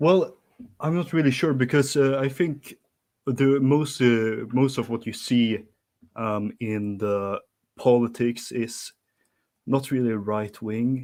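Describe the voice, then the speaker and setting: With a Swedish accent, a man speaks at a very slow pace and medium pitch, with ordinary pitch variation and long, frequent pauses, in a very clean recording with a silent background. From Sweden. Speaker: caller. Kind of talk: casual chat. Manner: halting, many fillers.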